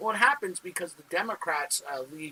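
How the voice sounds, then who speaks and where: Very wide pitch swings in a man's raised, projected voice. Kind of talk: political commentary to camera. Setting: wrong microphone, poor sound. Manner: casual, hesitant with fillers.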